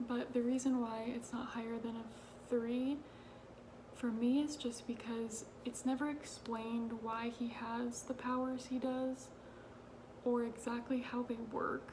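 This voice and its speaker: A quiet woman speaks at a fairly slow pace with long, frequent pauses, her high pitch held in a monotone, flat line. Noticeable background noise and audible room echo surround her voice. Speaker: book youtuber. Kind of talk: casual vlog talk. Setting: at home late at night. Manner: quiet, hushed.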